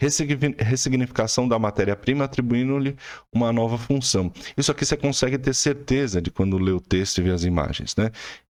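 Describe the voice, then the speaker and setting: Using an unremarkable speaking voice, a man talks fairly quickly at medium pitch with ordinary pitch variation. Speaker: art teacher. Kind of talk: tutorial.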